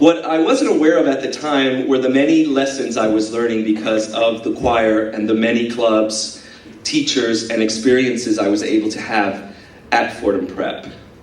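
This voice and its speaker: A man speaks with ordinary pitch variation in a room with audible echo and noticeable background noise. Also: medium pitch for a man, moderate pace. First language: Spanish. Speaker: dance company director, former performer. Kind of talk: speech to audience. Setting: school event breakfast. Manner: hesitant, many filler words.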